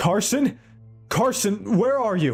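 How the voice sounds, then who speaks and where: With faint music in the background, a man does a put-on character voice at a high pitch with lively intonation. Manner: panicked, calling out.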